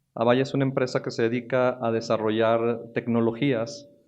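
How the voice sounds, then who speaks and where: With a northern Mexican accent, a man talks at a moderate pace and medium pitch, his intonation fairly even. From northern Mexico, Monterrey. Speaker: technology executive. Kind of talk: conference talk. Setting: stage with audience. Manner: halting, with many fillers.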